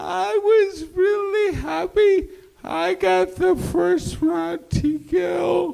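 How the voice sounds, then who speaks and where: At a very slow pace, a put-on character voice is performed. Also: man, extremely high pitch for a man. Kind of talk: post-fight interview. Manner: put-on, sweetly delivered.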